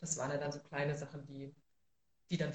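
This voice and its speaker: A woman's intonation stays monotone and flat. She talks at a fairly quick pace. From Thuringia, Germany (Rudolstadt). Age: 30s. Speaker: social worker and city council member. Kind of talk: livestream interview. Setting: livestream.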